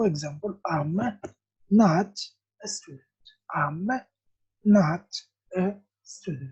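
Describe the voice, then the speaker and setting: A woman with an Arabic accent speaks at a fairly slow pace, somewhat breathy, with a fairly low pitch and a dark, mellow tone. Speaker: English teacher. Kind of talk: lesson. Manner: slow, repetitive.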